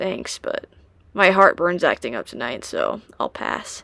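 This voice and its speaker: The raspy, put-on character voice moves at a fairly slow pace. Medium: read story. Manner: soft-spoken, subdued.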